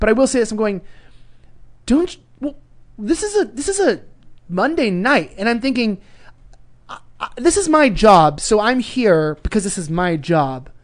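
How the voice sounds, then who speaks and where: In a California Valley accent, a man speaks at a moderate pace in a high pitch with very wide pitch swings and long, frequent pauses. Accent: California, Valley Girl-like. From Los Angeles, California. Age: 20s. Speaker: journalist. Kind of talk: casual chat.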